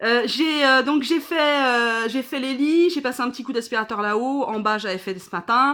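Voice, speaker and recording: A woman projects a raised voice, high in pitch with a bright, sharp tone and ordinary pitch variation. She keeps a moderate pace with hardly any pauses in a very clean recording with a silent background. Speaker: vlogger. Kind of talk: casual vlog chat. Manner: hesitant, many fillers.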